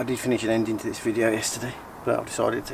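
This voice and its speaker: A man with a British accent at a very fast pace, amid noticeable background noise and audible room echo. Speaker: car restoration vlogger. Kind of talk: workshop tutorial vlog. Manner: casual, halting.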